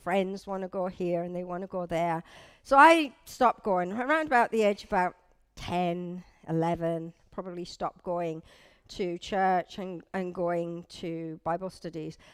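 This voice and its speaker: On a very clean recording with a silent background, a woman speaks at a moderate pace and medium pitch. Her loudness swings widely. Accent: northeast English. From northeast England. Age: 50s. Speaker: church leader's wife giving testimony. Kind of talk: testimony. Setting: church service with audience, on a microphone. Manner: casual, conversational.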